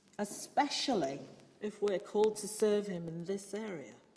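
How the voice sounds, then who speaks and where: Speaking at a fairly slow pace, a woman of medium pitch with a British accent has a dark, mellow tone and ordinary pitch variation. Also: big swings in loudness. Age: 60s. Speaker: preacher and church musician. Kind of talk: sermon.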